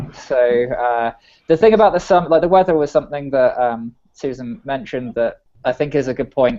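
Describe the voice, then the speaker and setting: A man with an English accent. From England. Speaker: software engineer. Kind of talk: casual chat.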